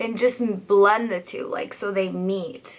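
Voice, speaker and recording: A woman's unremarkable speaking voice at a medium pitch with ordinary pitch variation. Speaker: beauty youtuber and hairstylist. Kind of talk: makeup tutorial. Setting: at home by a window for natural light. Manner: casual, chatty.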